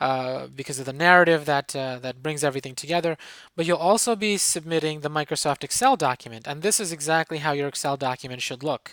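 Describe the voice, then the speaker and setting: The speech is very fast with hardly any pauses, in a very clean recording with a silent background. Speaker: professor. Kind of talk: tutorial.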